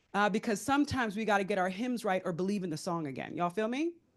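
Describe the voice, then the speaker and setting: Against a quiet background, a woman with a New York accent talks at a fairly quick pace in a fairly high pitch with lively intonation. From US Northeast (New York). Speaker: panelist, philanthropic fund leader. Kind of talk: panel talk. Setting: conference room with audience. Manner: loud.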